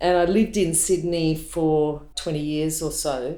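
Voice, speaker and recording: Audible room echo surrounds a woman with an Australian accent who speaks in a very deep, low pitch with a dark, mellow tone and fairly even intonation. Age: 60s. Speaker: props master. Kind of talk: personal testimony.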